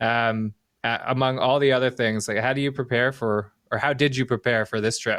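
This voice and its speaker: A man with a Canadian accent, medium pitch, monotone, flat intonation and a fairly quick pace, in a dry, close sound with no echo. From Canada. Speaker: podcast host. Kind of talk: interview.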